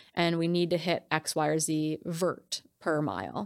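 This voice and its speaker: A woman's fairly low-pitched voice with vocal fry, in an American accent, in a very clean recording with a silent background. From US Midwest, Wisconsin. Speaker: ultrarunner and coach. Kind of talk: casual interview.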